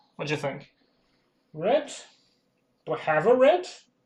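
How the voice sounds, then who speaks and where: Somewhat breathy, the man's voice moves along at a moderate pace. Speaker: hobby streamer painting miniatures. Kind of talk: casual livestream chat while painting. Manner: quiet while concentrating.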